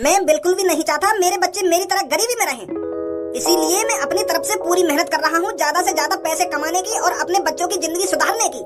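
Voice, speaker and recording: A cartoonish character voice moves along at a fairly quick pace. Loud music plays in the background. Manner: rustic, blunt.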